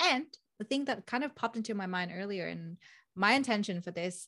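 Over a very clean recording with a silent background, a woman with a Vietnamese accent speaks at a moderate pace in a bright, sharp tone with lively intonation. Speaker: project manager, podcast host. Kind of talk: casual interview conversation.

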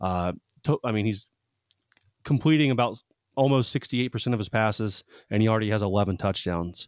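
A plain, everyday voice with ordinary pitch variation comes through in a very clean recording with a silent background, the sound dry and close with no echo. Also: man, fairly low pitch for a man. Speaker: sports blogger and podcaster. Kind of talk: interview.

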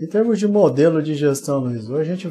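Music plays in the background while a man speaks. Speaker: web show host, business interviewer. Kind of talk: live interview. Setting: live video broadcast.

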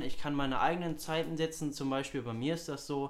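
Room echo is audible here. A man talks at a moderate pace and fairly high pitch. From Hamburg, northern Germany. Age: young. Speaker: student podcast co-host. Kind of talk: casual chat.

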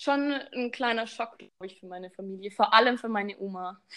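A woman speaks in an unremarkable speaking voice, fairly high in pitch with ordinary pitch variation, on a very clean recording with a silent background. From Baden-Württemberg, Germany. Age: 20s. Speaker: social pedagogue, recent graduate. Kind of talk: casual chat. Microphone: too quiet.

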